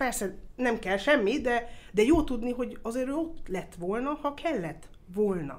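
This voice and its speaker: A woman with a high pitch speaks at a fairly slow pace, her voice swinging very widely in pitch. Audible room echo is present. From Austria (Vienna), Hungarian family. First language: English (speaking Hungarian). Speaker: motorsport circuit executive. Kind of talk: interview. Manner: hesitant, with fillers.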